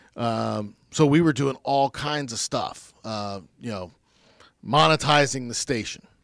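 A man with an American accent speaks at a very slow pace, his pitch medium with ordinary variation. His loudness swings widely. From US Midwest, Dayton, Ohio. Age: 40s. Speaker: former radio station manager. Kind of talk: casual interview.

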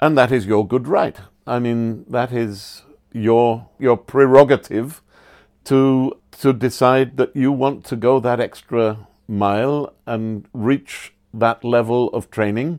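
In a very clean recording with a silent background, a man with an English accent speaks at a medium pitch and a very slow pace, his intonation fairly even. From England. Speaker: standards auditor. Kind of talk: interview explanation. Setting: on location at a dive center.

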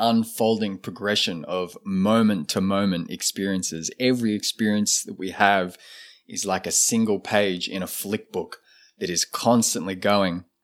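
Recorded very cleanly with a silent background, a man with an Australian accent speaks at a fairly low pitch with ordinary pitch variation. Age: 30s. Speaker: shaman and ceremonialist. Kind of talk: casual interview conversation.

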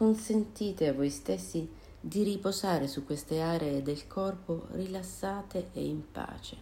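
A woman with a fairly low pitch speaks at a fairly slow pace in a dark, mellow, gentle, calm tone that is somewhat breathy, with ordinary pitch variation. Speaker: meditation guide. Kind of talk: guided meditation. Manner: slow, calm, soothing with long pauses; gentle, soft-spoken.

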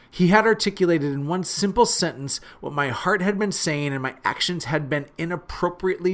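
Loud and animated, with an energetic tone, a man speaks at a moderate pace in a high pitch with lively intonation and hardly any pauses, on a very clean recording with a silent background. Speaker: podcast host. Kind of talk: solo podcast monologue, motivational talk. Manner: animated, energetic, conversational; has a loud voice.

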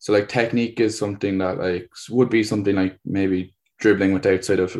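Against a quiet background, a man speaks at a fairly low pitch. His intonation is fairly even and his pace fairly quick. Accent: Cork. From Ireland, Cork. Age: 20s. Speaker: PE teacher and tennis coach. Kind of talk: interview. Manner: hesitant, many fillers.

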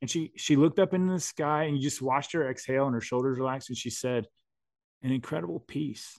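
Against a quiet background, a man with an American accent talks very fast at medium pitch with ordinary pitch variation. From US. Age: 40s. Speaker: writer and adventurer. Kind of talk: casual chat.

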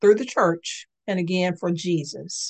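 A woman speaks at a very slow pace in a medium pitch with ordinary pitch variation. Her tone is warm, dark and mellow. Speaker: podcast host and licensed clinician. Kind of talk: podcast monologue on faith and psychology. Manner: warm, reflective, conversational with fillers.

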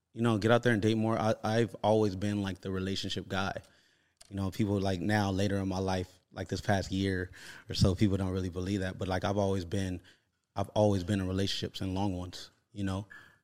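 A man speaks with an American accent at a fairly low pitch. His intonation is monotone and flat, and his pace fairly quick. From Los Angeles, California. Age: 30s. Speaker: fitness influencer. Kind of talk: casual chat.

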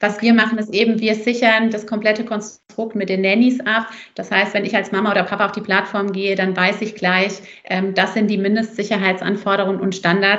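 The voice is monotone, with flat intonation, at a fairly quick pace. Audible room echo surrounds it. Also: woman, medium pitch for a woman. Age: 30s. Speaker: company founder and mother. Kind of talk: casual interview.

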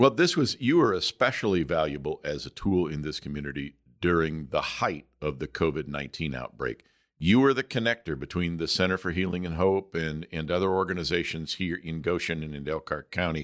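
In a very clean recording with a silent background, a man with an American accent speaks at a fairly quick pace with hardly any pauses. His very deep, low voice has vocal fry and ordinary pitch variation. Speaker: podcast host. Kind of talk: interview.

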